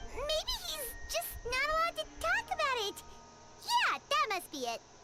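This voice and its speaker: Someone does a put-on character voice at an extremely high pitch and a moderate pace. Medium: video game. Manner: chatty, eager.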